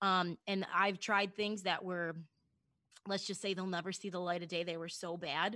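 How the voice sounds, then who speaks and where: A woman with an American accent speaks at a moderate pace in a medium pitch, her bright, sharp tone delivered with monotone, flat intonation against a quiet background. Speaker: broadcaster and bartender. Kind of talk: casual interview chat.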